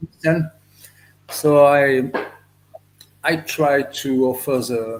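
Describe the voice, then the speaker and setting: A man with a French accent, fairly high pitch for a man, fairly even intonation, long, frequent pauses and a very slow pace. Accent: French accent, non-native English. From France. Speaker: reptile breeder. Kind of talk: podcast interview. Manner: halting, many fillers.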